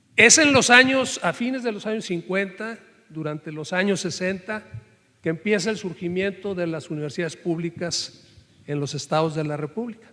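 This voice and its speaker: Raising and projecting his voice, a man speaks at a moderate pace with a high pitch and lively intonation. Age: 60s. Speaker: professor-researcher. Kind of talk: panel discussion.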